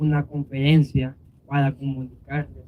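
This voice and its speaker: The man's tone is dark and mellow. His pitch is fairly high. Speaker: immigrant facing deportation case. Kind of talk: speech at a vigil.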